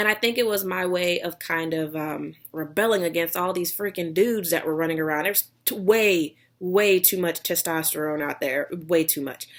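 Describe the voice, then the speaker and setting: A woman with a slight Texas accent talks in a fairly low pitch with ordinary pitch variation and hardly any pauses. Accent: slight Texas drawl. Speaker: vlogger, online seller. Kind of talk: casual vlog talk.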